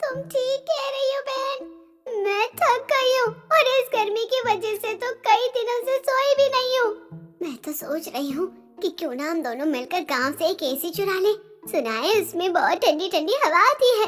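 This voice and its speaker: A cartoonish character voice, female-sounding and extremely high-pitched for a woman, moves at a moderate pace. Faint music plays in the background. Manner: mocking, sly.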